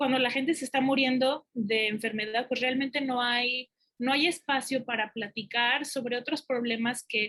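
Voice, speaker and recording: Speaking at a fairly slow pace, a woman with a Mexican accent has a high pitch, a bright, sharp tone and ordinary pitch variation. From Mexico. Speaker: academic researcher. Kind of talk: conference talk. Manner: hesitant, many fillers.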